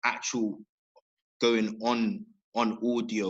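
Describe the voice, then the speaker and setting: A man is speaking. He has a London accent. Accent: London multicultural English. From Southeast London. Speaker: workshop host. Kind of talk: interview. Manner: casual.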